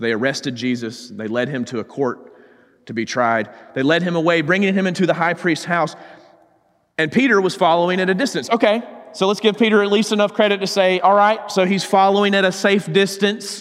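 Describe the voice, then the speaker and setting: This man speaks in a Southern US accent with a high pitch. He talks at a fairly quick pace with very wide pitch swings. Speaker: preacher. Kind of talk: sermon. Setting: church.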